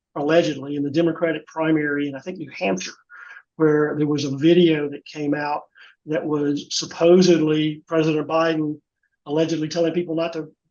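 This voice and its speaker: Speaking with a Southern US accent, a man keeps a fairly quick pace. His voice is fairly high-pitched, and his intonation is monotone and flat. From US South. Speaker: fraud prevention volunteer. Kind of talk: webinar presentation. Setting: online webinar. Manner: casual, repetitive restarts.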